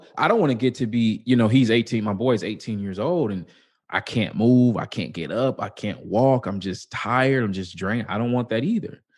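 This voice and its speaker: Against a quiet background, a man with an American accent and a plain, everyday voice speaks at a moderate pace in a medium pitch with ordinary pitch variation. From US Midwest, Chicago. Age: 30s. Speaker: author and public speaker. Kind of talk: casual interview.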